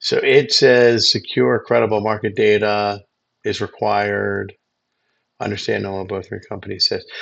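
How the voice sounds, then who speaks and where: A man's put-on character voice, mumbled at a moderate pace. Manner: mumbling, reading aloud.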